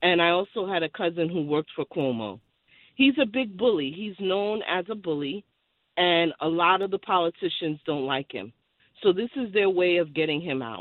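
An ordinary speaking voice from a woman with an American accent, fairly low in pitch, with lively intonation and a moderate pace. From Brooklyn, New York. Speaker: caller. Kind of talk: call-in opinion.

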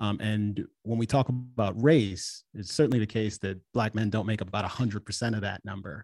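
A normal speaking voice with an American accent, fairly quick pace and fairly even intonation, dry and close with no echo against a quiet background. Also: man. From Washington DC, Jamaican family. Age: 40s. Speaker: podcaster, political commentator. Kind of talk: radio interview, debate.

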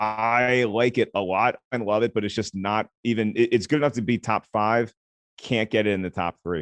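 Over a quiet background, a man talks at a moderate pace with fairly even intonation in a dry, close sound with no echo. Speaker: film critic and comedian. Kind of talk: casual interview.

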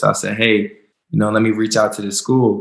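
Fairly low in pitch, a man with an unremarkable speaking voice moves at a fairly quick pace with fairly even intonation. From US South, North Carolina. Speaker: professional football player. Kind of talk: interview.

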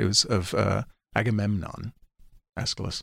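A man's voice, dry and close with no echo, on a very clean recording with a silent background. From New York City, Manhattan. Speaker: audiobook narrator and actor. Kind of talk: casual interview. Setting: studio.

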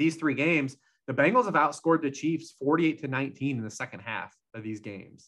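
With lively intonation and a fairly quick pace, a man has an ordinary speaking voice pitched fairly high. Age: 40s. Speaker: football betting analyst. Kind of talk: casual chat.

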